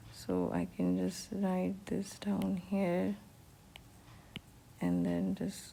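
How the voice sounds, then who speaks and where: Audible room echo surrounds a woman speaking at a very slow pace. Her loudness is very even, with long, frequent pauses. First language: Urdu. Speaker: economics teacher. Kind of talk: lecture. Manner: hesitant, many fillers.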